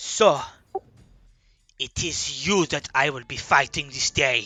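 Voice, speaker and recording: In a put-on character voice, a man talks at a fairly slow pace with a fairly high pitch. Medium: actual play.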